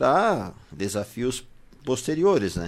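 Very wide pitch swings from a medium-pitched man at a fairly slow pace, in a very clean recording with a silent background. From southern Brazil. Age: 40s. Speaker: bakery owner. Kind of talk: radio interview.

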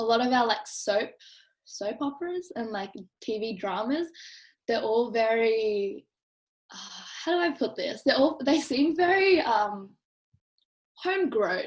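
Against a quiet background, a woman speaks at a high pitch and a fairly slow pace. Her pitch swings very widely, with long, frequent pauses. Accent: Australian. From Australia. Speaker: podcast host and university student. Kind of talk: casual chat.

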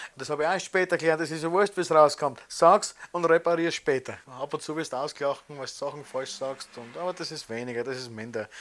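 A man speaks fairly quickly at a fairly high pitch, with ordinary pitch variation and big swings in loudness. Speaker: emigrant interviewee. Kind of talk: interview testimony.

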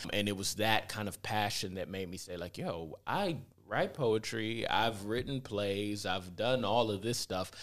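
A plain, everyday voice with an American accent talks at a fairly slow pace with hardly any pauses. Pitch variation is ordinary, and the recording is very clean with a silent background. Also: man, fairly low pitch for a man. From US Midwest, inner-city Cleveland, Ohio. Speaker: filmmaker and actor. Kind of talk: casual interview. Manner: relaxed, filler-heavy.

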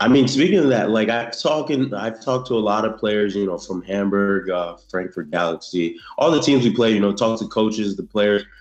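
A man talks at a fairly quick pace with hardly any pauses, in a plain, everyday voice. His pitch is fairly low, with ordinary pitch variation. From South Florida (born in Haiti). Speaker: American football player. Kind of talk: interview. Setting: video call. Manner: casual, many fillers.

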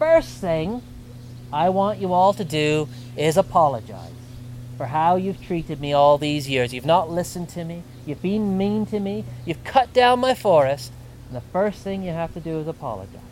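A gruff, put-on character voice from a man with a fairly high pitch, at a moderate pace over clear background noise. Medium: read story. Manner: gruff, resentful, then stern and commanding.

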